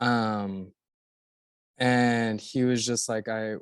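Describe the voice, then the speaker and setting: A man with an American accent, medium pitch and fairly even intonation, against a quiet background. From Florida (Orlando). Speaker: actor and podcast guest. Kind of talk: casual interview.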